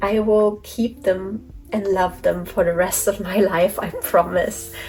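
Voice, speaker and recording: Against noticeable background noise, a woman mumbles at a fairly slow pace, her medium-pitched voice held to fairly even intonation. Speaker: toy collector vlogger. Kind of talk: casual vlog talk to camera. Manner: mumbling.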